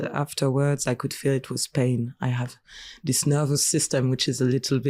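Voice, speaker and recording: A woman speaks at a moderate pace with a very deep, low pitch and a dark, mellow tone, her intonation flat and monotone. The recording is very clean, dry and close, with a silent background and no echo. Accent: French. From France. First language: French. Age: 20s. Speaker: singer and clown. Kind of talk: interview. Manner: halting.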